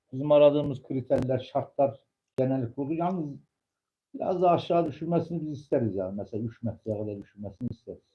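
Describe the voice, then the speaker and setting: A man talks at a very fast pace in a fairly high pitch. His voice is somewhat breathy, with lively intonation. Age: 50s. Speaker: pigeon fancier. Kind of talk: casual chat.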